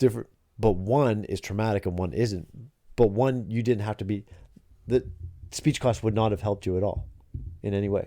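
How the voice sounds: Pausing long and often, a man talks with a fairly low pitch, ordinary pitch variation and a dark, mellow tone. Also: moderate pace.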